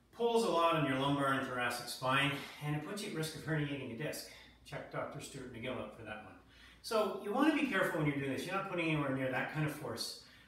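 Audible room echo surrounds the voice. The speech moves at a very fast pace. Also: man. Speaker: fitness trainer. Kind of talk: tutorial. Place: gym. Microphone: camera far.

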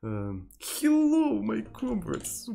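This is a put-on character voice. It comes with a Russian accent. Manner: jokey.

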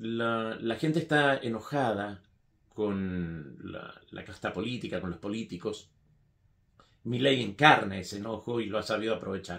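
A man's fairly low voice at a fairly slow pace, with ordinary pitch variation and big swings in loudness, against a quiet background. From Argentina, Mendoza; Argentina. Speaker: writer; political commentator. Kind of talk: political opinion monologue. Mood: critical, earnest. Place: home room.

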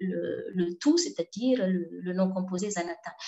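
With a Malagasy accent, a woman's somewhat breathy voice moves with lively intonation over a quiet background. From Madagascar. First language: Malagasy (speaking French). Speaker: linguistics researcher; conference presenter. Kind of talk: conference talk. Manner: halting. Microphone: webcam.

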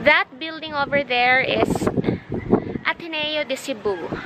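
Speech comes at a very slow pace. The sound is dry with no echo, over loud background noise. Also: woman. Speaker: vlogger. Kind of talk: casual vlog chat. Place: open country. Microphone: phone near.

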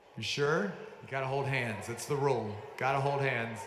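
An upbeat tone at a moderate pace over noticeable background noise. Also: man. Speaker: awards ceremony announcer. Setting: stage with audience. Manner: upbeat, emotionally invested, pausing to praise and console the young dancers. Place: stage.

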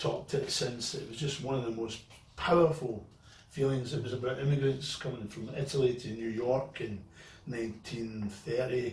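A man is speaking with fairly even intonation. Audible room echo surrounds his voice. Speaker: guest actor. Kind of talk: interview answer. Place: garage. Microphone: camera far.

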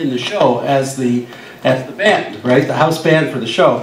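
Amid light background noise and audible room echo, a man talks at a fairly quick pace with ordinary pitch variation. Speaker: guest. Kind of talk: storytelling panel talk. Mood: humorous, relaxed. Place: bar. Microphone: camera far.

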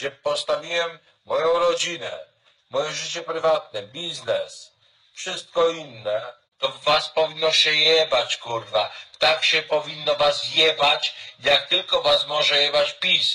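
A man speaks very slowly, the background around him quiet. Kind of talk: angry political rant to camera. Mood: angry and contemptuous. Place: home room. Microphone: webcam.

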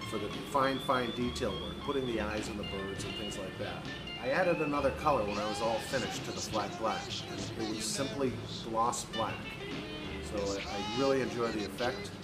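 Loud music plays behind a man who speaks at a moderate pace with ordinary pitch variation. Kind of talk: tutorial. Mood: relaxed, friendly. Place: workshop. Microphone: phone near.

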